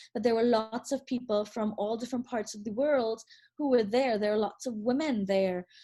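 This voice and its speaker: A woman's fairly high voice with a Trinidadian accent, dark and mellow in tone, with ordinary pitch variation. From Trinidad and Tobago. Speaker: attorney. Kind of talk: interview. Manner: halting, many fillers and repeats.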